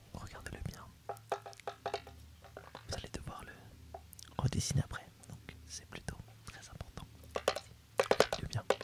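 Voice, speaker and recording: Whispering at a moderate pace, with long, frequent pauses, big swings in loudness and noticeable background noise. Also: man. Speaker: ASMR creator. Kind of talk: ASMR role play as an instructor presenting a topic. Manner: soft-spoken, whispered.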